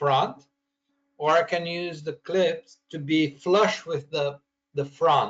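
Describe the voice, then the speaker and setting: A man with a non-native accent speaks at a high pitch and a very slow pace. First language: not English. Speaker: cabinet maker learning design software. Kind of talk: screen-share software training call. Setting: recorded video conference. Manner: halting, many repeats and restarts.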